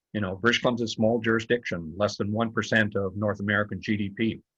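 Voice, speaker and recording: A man with a Canadian accent, a normal speaking voice, fairly low pitch, fairly even intonation and a fairly quick pace, over a quiet background. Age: 60s. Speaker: author and former politician. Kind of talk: book talk conversation.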